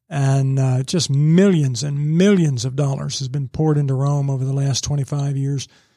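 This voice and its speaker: The voice is somewhat breathy with a dark, mellow tone, moving at a moderate pace. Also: man, very clean recording, silent background. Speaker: newspaper business editor and former radio news director. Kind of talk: casual interview. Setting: studio.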